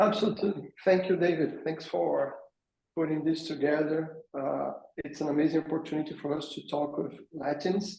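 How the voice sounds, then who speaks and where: In a Brazilian accent, a man speaks with a dark, mellow tone and vocal fry at a fairly high pitch, his intonation fairly even. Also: moderate pace. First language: Portuguese. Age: 40s. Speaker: fitness business founder. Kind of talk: webinar panel introduction.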